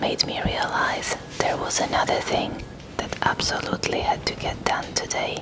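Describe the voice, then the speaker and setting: Someone whispers at a fairly slow pace against noticeable background noise. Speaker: parent. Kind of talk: whispered ASMR vlog narration. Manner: whispered.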